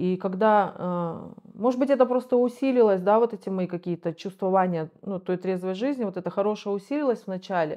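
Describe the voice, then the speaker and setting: At a moderate pace, a woman speaks with ordinary pitch variation against a quiet background. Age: 40s. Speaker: rehab patient, recovering drug user. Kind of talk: interview testimony. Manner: halting. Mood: reflective, calm. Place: home room. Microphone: lapel.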